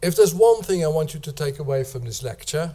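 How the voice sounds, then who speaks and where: A somewhat breathy man's voice with a dark, mellow tone. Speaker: professor. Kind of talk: lecture. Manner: hesitant, frequent uh fillers.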